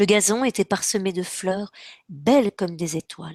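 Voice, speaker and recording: A woman talks at a very slow pace with ordinary pitch variation. The sound is dry and close with no echo, in a very clean recording with a silent background. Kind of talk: children's story reading.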